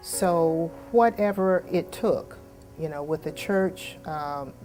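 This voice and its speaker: A woman speaks with an American accent. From US South, Eatonville, Florida. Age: 60s. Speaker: local storyteller. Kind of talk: oral history interview. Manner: halting.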